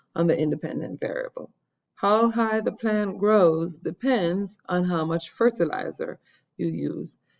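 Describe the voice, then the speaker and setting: Medium in pitch, a woman has an unremarkable speaking voice. Her pitch moves in an ordinary way. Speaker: science teacher. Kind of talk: lecture. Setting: screen recording.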